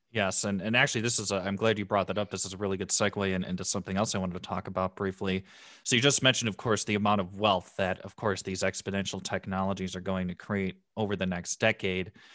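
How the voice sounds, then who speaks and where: Talking at a very fast pace with hardly any pauses, a man uses a fairly low pitch and a monotone, flat intonation, his tone bright and sharp, the sound dry and close with no echo against a quiet background. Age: 20s. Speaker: podcast host. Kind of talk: scripted intro; interview.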